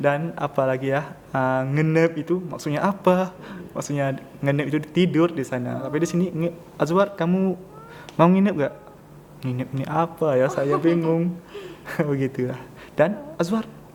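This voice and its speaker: Over noticeable background noise, a man with a Pattani accent speaks at a high pitch and a moderate pace with ordinary pitch variation. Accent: Pattani Malay accent in Indonesian. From southern Thailand (Pattani). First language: Pattani Malay (speaking Indonesian). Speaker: international student. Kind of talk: podcast interview. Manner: halting.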